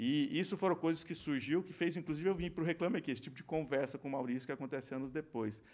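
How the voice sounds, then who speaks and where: Very fast and with hardly any pauses, the speech shows ordinary pitch variation. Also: man, fairly high pitch for a man. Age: 50s. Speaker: company co-founder and CEO. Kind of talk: casual interview. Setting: studio.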